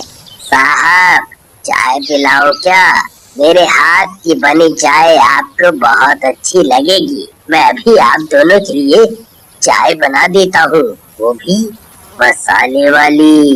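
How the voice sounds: In a cartoonish character voice with a middle pitch, the words come out at a very slow pace.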